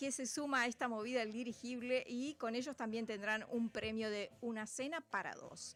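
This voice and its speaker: Hardly pausing, a woman with a Rioplatense accent speaks at a moderate pace in a high voice with fairly even intonation. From Uruguay. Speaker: radio host. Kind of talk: radio show chat. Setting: radio studio, televised.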